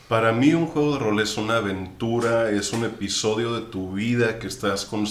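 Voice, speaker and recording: Someone speaks at a moderate pace over noticeable background noise and audible room echo. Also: man. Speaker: tabletop role-playing game master. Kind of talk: casual chat.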